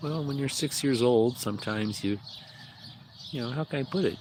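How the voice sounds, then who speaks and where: The voice has an American accent and ordinary pitch variation at a moderate pace, broken by long, frequent pauses. Noticeable background noise runs underneath. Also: man. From Illinois, US Midwest. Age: 60s. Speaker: livestreamer. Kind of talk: casual livestream chat. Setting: outdoors in front of his mobile home. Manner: hesitant, many fillers.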